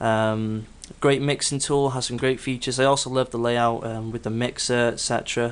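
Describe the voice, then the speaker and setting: A man at medium pitch, monotone and flat in intonation, at a moderate pace. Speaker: home studio music producer. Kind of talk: tutorial gear walkthrough. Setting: home studio, video. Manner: hesitant, filler-heavy.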